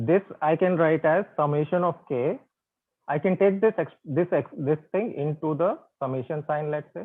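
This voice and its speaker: A man's voice, fairly high in pitch, with ordinary pitch variation. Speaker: physics professor. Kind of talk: online lecture. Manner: slow, deliberate.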